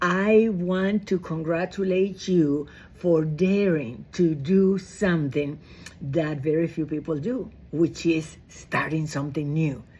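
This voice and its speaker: A woman speaks very slowly at a fairly low pitch, her tone dark and mellow. Her pitch varies in an ordinary way. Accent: Spanish. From Dominican Republic. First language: Spanish. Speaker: direct sales director. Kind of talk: training talk. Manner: animated.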